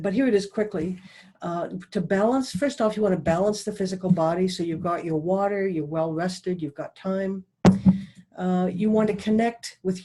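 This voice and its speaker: A dark, mellow tone marks this voice. It comes across as somewhat breathy. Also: woman. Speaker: professional dowser. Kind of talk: presentation. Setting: video call.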